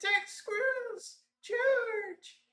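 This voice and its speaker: A put-on character voice, squeaky and extremely high in pitch, carries the lines. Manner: excited, commanding.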